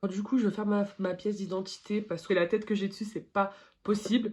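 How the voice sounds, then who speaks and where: A woman's medium-pitched voice at a moderate pace. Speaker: beauty YouTuber. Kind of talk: makeup tutorial vlog. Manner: halting.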